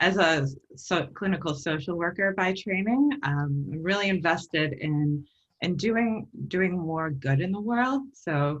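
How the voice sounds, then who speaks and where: A woman with a New York accent, fairly low pitch, lively intonation and a fairly slow pace. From US, New York. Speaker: social worker, nonprofit consultant, workshop presenter. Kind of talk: webinar presentation.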